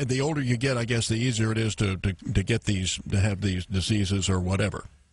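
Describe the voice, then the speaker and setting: Somewhat breathy, a man with a medium pitch talks at a fairly quick pace with ordinary pitch variation. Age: 60s. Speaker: radio host. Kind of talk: radio interview. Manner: halting, repeats words.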